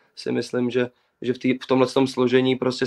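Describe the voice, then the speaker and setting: A man talks at a fairly quick pace and medium pitch, his intonation monotone and flat. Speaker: footballer. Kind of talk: interview. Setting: video call from home.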